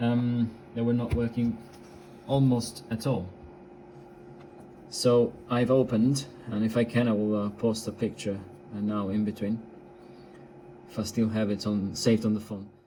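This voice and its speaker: Speaking with an Italian accent, a man talks at a moderate pace and medium pitch, dark and mellow in tone, with fairly even intonation and long, frequent pauses. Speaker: radio hobbyist. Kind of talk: tutorial. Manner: halting, many fillers.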